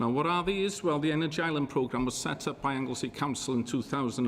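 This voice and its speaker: A Welsh accent with ordinary pitch variation. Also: man. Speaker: enterprise zone chair. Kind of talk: panel talk. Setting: conference panel with audience.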